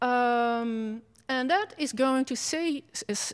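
On a very clean recording with a silent background, a woman with a Dutch accent speaks with lively intonation. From Netherlands. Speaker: professor. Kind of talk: lecture. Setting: stage with audience.

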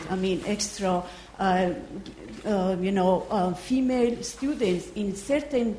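Very slowly, a woman speaks at a medium pitch with ordinary pitch variation. Audible room echo surrounds her voice. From Iran. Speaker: visiting researcher, audience questioner. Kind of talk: audience question. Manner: halting.

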